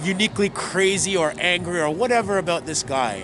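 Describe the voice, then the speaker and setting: Over noticeable background noise, a man speaks loudly at a high pitch with ordinary pitch variation. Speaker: activist and commentator. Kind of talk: interview.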